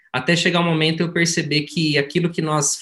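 A man with a fairly high pitch sounds somewhat breathy. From interior of São Paulo state, Brazil. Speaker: osteopath and mentor. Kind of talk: motivational talk in group meeting. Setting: video call.

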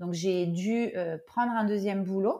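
A woman speaks at a moderate pace with a dark, mellow tone and fairly even intonation. The recording is very clean and the background silent. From southern France. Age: 40s. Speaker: market founder and entrepreneur. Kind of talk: interview testimony. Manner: halting, many repetitions and fillers.

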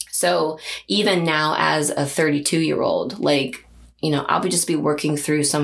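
A woman speaks at a fairly slow pace with very even loudness. Audible room echo and noticeable background noise fill the recording. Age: 30s. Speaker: figurative artist. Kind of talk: casual interview.

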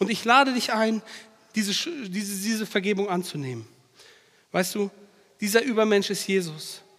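At a moderate pace, a man talks with high pitch and ordinary pitch variation. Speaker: preacher. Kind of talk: sermon. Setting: church. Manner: animated, direct, emphatic; repeats key phrases for emphasis.

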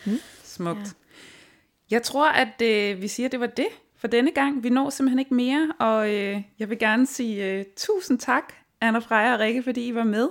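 A woman with an ordinary speaking voice talks at a fairly slow pace in a fairly high pitch, with ordinary pitch variation. The recording is very clean and the background silent. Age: 30s. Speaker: podcast host. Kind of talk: podcast interview.

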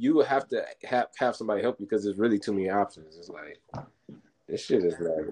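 Talking very fast, a man with an American accent swings a lot in loudness. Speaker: podcast co-host. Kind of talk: casual banter, podcast chat.

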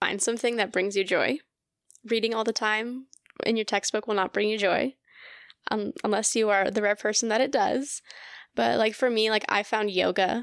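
On a very clean recording with a silent background and a dry, close sound with no echo, a woman speaks at a moderate pace with long, frequent pauses, a fairly high pitch, fairly even intonation and very even loudness. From Colorado, US. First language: Russian. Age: 20s. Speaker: graduate student in speech pathology. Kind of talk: casual interview chat.

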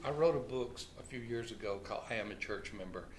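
In a room with audible echo, a man talks at a fairly slow pace with a medium pitch and ordinary pitch variation. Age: 60s. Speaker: pastor and author. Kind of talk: casual interview.

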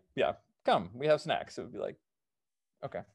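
Lively intonation from a man with a General American accent. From Seattle, US Pacific Northwest. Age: 30s. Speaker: mountaineer. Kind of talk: casual interview.

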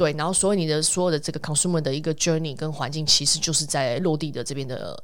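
With noticeable background noise and audible room echo, someone talks fairly quickly using ordinary pitch variation. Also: woman. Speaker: podcast host. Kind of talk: casual chat.

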